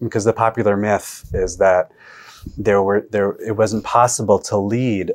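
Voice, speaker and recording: A man's monotone, flat delivery over a quiet background. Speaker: historian and author. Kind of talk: interview. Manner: halting, many fillers.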